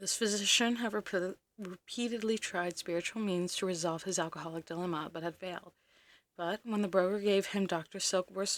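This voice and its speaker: A soft-spoken woman at a fairly quick pace, fairly low in pitch with fairly even intonation, in a very clean recording with a silent background. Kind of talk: calm reading-style ASMR of a book, read aloud. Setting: close microphone, quiet recording with no extra sounds. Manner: relaxed pace, soft-spoken, clear.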